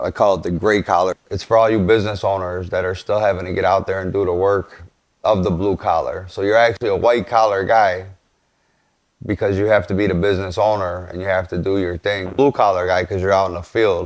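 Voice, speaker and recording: Speaking at a fairly quick pace with a Chicago accent, a man holds a fairly low pitch in a monotone with flat intonation. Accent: Chicago city. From Chicago, West Side. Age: 40s. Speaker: podcast host, construction business owner. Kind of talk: casual monologue.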